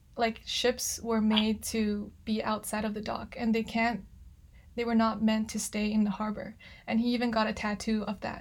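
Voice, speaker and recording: A woman's fairly high, somewhat breathy voice in a monotone, flat intonation at a moderate pace. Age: 20s. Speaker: podcast host. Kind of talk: interview. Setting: video call.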